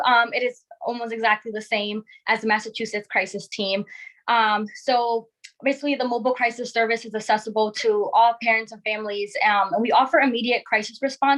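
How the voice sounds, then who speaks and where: A woman with an ordinary speaking voice, fairly high in pitch, talks at a fairly quick pace with ordinary pitch variation. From Connecticut. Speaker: crisis clinician. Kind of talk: panel presentation.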